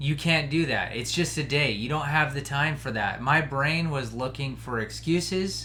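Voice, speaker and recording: With an American accent, a man speaks fairly slowly in a bright, sharp tone with vocal fry and ordinary pitch variation. Room echo is audible. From Colorado. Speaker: podcast host; hunter. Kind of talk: casual monologue.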